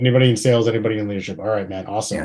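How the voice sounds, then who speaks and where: With an American accent, this voice has a dark, mellow tone and sounds somewhat breathy. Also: man. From Chicago. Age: 30s. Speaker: podcast host. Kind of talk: interview.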